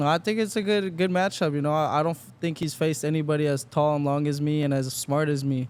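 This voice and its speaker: Speaking at a very fast pace with hardly any pauses, a man uses a fairly high pitch with ordinary variation. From Las Vegas, US. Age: 20s. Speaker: professional boxer. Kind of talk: interview. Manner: casual, filler-heavy.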